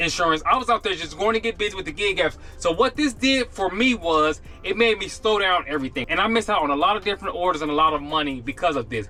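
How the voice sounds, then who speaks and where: Over music in the background, a man with a high pitch speaks at a very fast pace in a raised, projected voice with lively intonation. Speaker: gig delivery driver vlogger. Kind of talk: casual vlog talk to camera. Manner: normally fast-talking.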